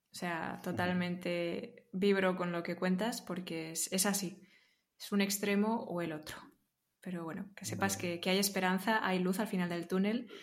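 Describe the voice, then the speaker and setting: A woman's medium-pitched voice with fairly even intonation at a moderate pace, with audible room echo. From Spain, Barcelona. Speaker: interview guest sharing personal growth story. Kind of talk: casual interview conversation.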